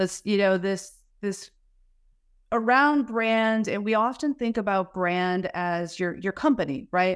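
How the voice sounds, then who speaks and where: In an American accent, a woman with an ordinary speaking voice, medium pitch and ordinary pitch variation talks at a fairly slow pace on a very clean recording with a silent background. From Wisconsin, US Midwest. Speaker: podcast host, marketing executive. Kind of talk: podcast interview.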